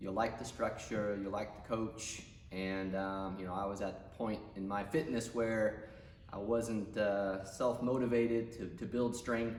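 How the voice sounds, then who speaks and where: Over music in the background, the speech moves at a fairly slow pace with fairly even intonation and audible room echo. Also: man. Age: 40s. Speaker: gym member. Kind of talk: testimony.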